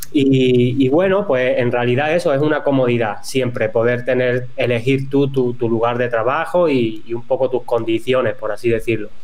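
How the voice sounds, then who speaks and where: With hardly any pauses, a man speaks amid noticeable background noise and audible room echo. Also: medium pitch for a man, ordinary pitch variation, moderate pace, very even loudness. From Spain, Cádiz mountains (Andalusia). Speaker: copywriter and email marketing expert. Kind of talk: podcast interview.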